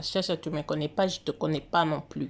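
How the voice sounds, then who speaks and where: Her pitch rises and falls in an ordinary way as the woman talks. The audio is very clean and the background is silent. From DR Congo or Congo. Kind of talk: casual monologue on religious prophecy. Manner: halting, many hesitations.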